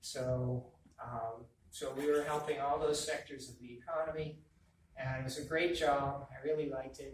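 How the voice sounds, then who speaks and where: In an American accent, a man talks at a moderate pace and fairly high pitch, his intonation fairly even but his loudness swinging widely, with audible room echo. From Massachusetts. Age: 60s. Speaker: political candidate. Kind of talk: campaign talk.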